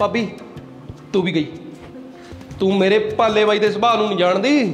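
A man speaks at a high pitch with fairly even intonation. Faint music plays in the background. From Punjab, India. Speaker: comedy sketch actor. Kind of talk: scripted comedy sketch dialogue. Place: home room.

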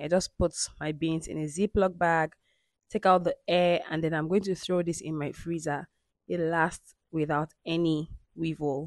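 A woman with a normal speaking voice and a fairly low pitch talks at a moderate pace with fairly even intonation, in a dry sound with no echo and a quiet background. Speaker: home cooking vlogger. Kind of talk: casual vlog narration. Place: kitchen.

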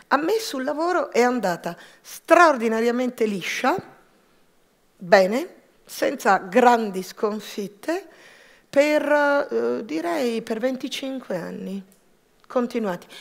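Speaking very slowly with long, frequent pauses, a woman uses a high pitch and lively intonation against a quiet background. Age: 50s. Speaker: entrepreneur. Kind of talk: personal testimony talk. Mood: reflective, personal. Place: stage. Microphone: headset.

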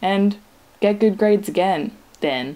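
This very clean recording with a silent background features a woman at medium pitch with a dark, mellow tone. She talks at a moderate pace. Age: 20s. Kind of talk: personal video diary monologue, read aloud.

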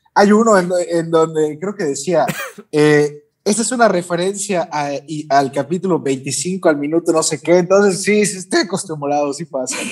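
Speaking with a Mexican accent, a man uses a high pitch and ordinary pitch variation. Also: moderate pace. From Mexico, Yucatán. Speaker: anime YouTuber. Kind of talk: casual chat.

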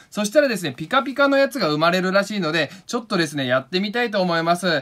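Raised and projected, a man's high-pitched voice has a bright, sharp tone, very wide pitch swings, and a very fast pace. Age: 20s. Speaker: painter and video creator. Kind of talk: casual craft tutorial vlog. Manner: animated.

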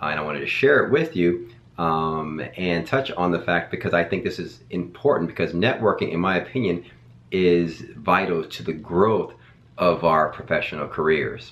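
Very deep, low pitch from a man, with ordinary pitch variation. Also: moderate pace. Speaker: educator. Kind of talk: casual vlog chat. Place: home room.

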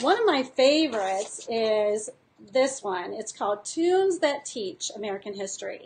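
Over light background noise, a woman with a high pitch swings widely in both pitch and loudness. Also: moderate pace. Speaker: teacher and curriculum designer. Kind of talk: casual live-stream tutorial to teachers. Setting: live video stream. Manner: animated, enthusiastic. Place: home room. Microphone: webcam.

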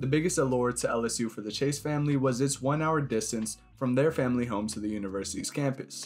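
Music plays behind a man speaking at a fairly quick pace. His pitch varies in an ordinary way. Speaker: documentary narrator. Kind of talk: documentary narration.

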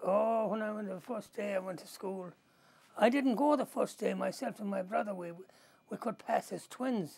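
A high-pitched man with a western Irish accent and ordinary pitch variation. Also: moderate pace. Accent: Irish (west of Ireland). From Kinvara, County Galway, Ireland. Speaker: oral history interviewee, immigrant from Ireland. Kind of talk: casual interview answer, telling stories. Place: home room.

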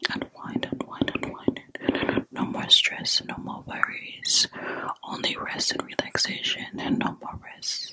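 A soft-spoken woman whispers in a soothing tone at a very slow pace. Her loudness swings widely, and background noise is noticeable. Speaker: ASMR creator. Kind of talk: soft relaxation guidance. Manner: soft soothing ASMR whisper. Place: home room. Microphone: studio mic.

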